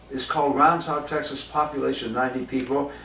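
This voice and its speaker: With an American accent, a man talks amid noticeable background noise and audible room echo. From Southern California, Hollywood. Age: 70s. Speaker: jazz clarinetist. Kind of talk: casual storytelling monologue. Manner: animated, profane.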